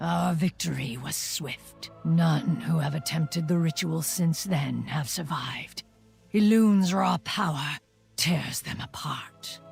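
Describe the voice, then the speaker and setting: Faint music plays behind a put-on character voice at middle pitch, moving at a fairly slow pace. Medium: video game. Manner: grave, measured.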